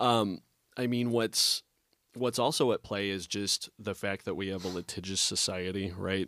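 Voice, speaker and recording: In a very clean recording with a silent background, a man with an ordinary speaking voice talks at a moderate pace, his fairly low pitch held in fairly even intonation. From US Midwest. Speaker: restaurant owner. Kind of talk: casual interview chat. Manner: joking, friendly.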